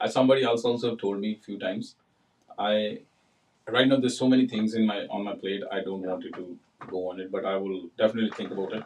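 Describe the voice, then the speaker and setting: Talking at a very fast pace, a man with a Punjabi Indian accent uses a fairly low pitch and big swings in loudness. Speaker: realtor and builder. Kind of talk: casual chat. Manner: animated.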